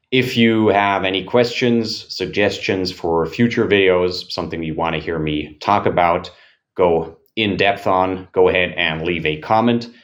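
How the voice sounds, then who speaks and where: A man with a very deep, low pitch talks at a moderate pace with ordinary pitch variation. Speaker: fitness coach. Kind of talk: motivational monologue. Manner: slightly slurred speech; animated.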